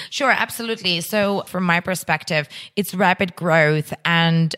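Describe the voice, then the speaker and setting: A woman speaks with a Russian accent. Her pitch is fairly low, with ordinary pitch variation. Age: 30s. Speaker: entrepreneur. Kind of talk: interview.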